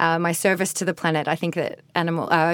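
In a very clean recording with a silent background, a woman speaks with monotone, flat intonation. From born in Ireland, raised Australia. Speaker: poker tour host and actor. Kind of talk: casual interview chat. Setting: studio. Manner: loud, intense.

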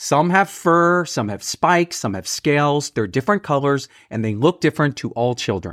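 A man with an American accent and a plain, everyday voice speaks at a moderate pace, his pitch fairly high and his intonation lively, on a very clean recording with a silent background. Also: hardly any pauses. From Texas. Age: 40s. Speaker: podcast host and teacher. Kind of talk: casual chat with children, guided imaginary journey. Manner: warm, encouraging.

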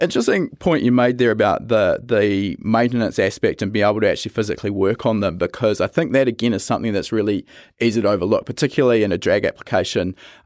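Very fast and with hardly any pauses, a man speaks with a New Zealand accent at medium pitch and ordinary pitch variation. The recording is very clean with a silent background and a dry, close sound with no echo. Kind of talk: interview conversation.

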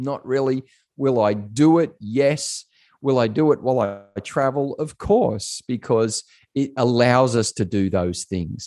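A man's dark, mellow, medium-pitched voice with an Australian accent, very slow pace, ordinary pitch variation, and a dry, close sound with no echo. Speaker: pastor and corporate coach. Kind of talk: casual interview. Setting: remote call.

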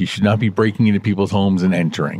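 The speaker is a man. He has a Canadian accent. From Canada. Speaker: podcast co-host. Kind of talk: casual chat.

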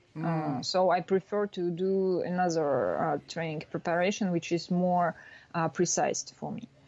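A woman with a Russian accent, fairly low in pitch, at a fairly slow pace, with a dark, mellow tone and fairly even intonation. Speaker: former snowboarder, tech startup founder. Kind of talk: interview. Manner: halting.

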